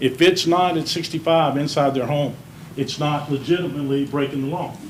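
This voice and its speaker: A man talks at a fairly quick pace with fairly even intonation, over noticeable background noise and audible room echo. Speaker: small business owner speaking at public comment. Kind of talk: public comment at city meeting. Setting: city council meeting. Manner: loud.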